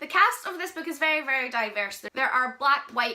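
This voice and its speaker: Against noticeable background noise, a woman with a Scottish accent uses a raised, projected voice at a fairly quick pace, high in pitch with ordinary pitch variation. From Scotland. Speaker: book reviewer. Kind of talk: book review vlog. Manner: casual, with filler ums.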